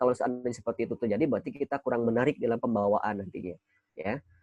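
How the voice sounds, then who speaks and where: This man talks very fast at a medium pitch, with ordinary pitch variation and a dry, close sound with no echo. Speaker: student training speaker. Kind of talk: training session talk. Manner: casual, conversational.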